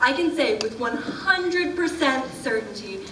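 Light background noise and audible room echo around a woman talking. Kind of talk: ceremonial speech. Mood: warm, lightly humorous. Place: hall. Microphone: podium.

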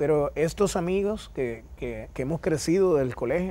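A man talks at a moderate pace with ordinary pitch variation. His tone is dark and mellow. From Dominican Republic. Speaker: interview guest. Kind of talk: TV interview. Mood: warm, smiling storytelling. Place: studio. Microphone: lapel.

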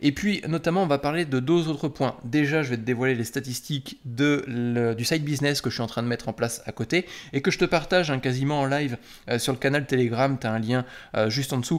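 Talking fairly quickly, a man uses a medium pitch and ordinary pitch variation. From France. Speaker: software developer and YouTuber; YouTuber. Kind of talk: casual direct-to-camera talk. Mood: indignant, ironic. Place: home room.

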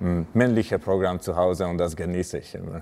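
Speaking at a fairly slow pace, a man with a very deep, low pitch has a dark, mellow tone. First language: not German (speaking German). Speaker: handball player. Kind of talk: personal interview talk. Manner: halting. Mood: calm, warm. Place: gym. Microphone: lapel.

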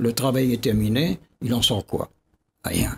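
A man speaks with vocal fry. There is light background noise. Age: 80s+. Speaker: geographer and scientist; guest. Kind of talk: TV debate interview. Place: studio. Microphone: studio mic.

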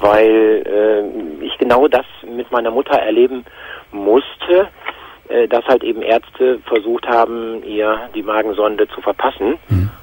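A man's fairly slow speech in a dry sound with no echo. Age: 50s. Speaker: caller. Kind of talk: testimony. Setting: phone call. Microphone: phone line.

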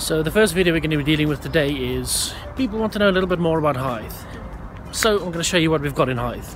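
Over noticeable background noise, a man speaks at a very fast pace with ordinary pitch variation and a dry sound with no echo. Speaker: vlogger. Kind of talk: casual vlog talk to camera. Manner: upbeat. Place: waterside. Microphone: phone near.

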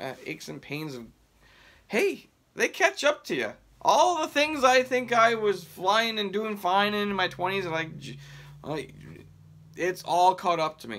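A man's high voice, bright and sharp, with very wide pitch swings, big jumps in loudness, a fairly slow pace, long frequent pauses and light background noise. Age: 30s. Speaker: mail carrier and sports card collector YouTuber. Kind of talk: casual vlog, showing sports cards. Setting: home video recording. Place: home room. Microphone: phone near.

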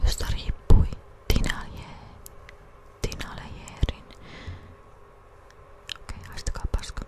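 A woman's whispering at a very slow pace, with long, frequent pauses. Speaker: ASMR creator. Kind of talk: soft-spoken whispering ASMR reading. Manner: soft-spoken, whispered. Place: home room. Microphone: studio mic.

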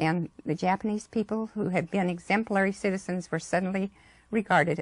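A woman speaks with ordinary pitch variation. Her voice has a slightly husky edge.

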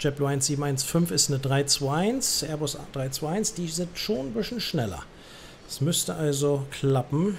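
Here a man's voice is somewhat breathy and fairly high in pitch. His intonation is lively, but his pace is very slow. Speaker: gaming streamer playing air traffic controller. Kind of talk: let's-play commentary mixed with ATC radio phraseology. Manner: chatty German asides with frequent äh fillers.

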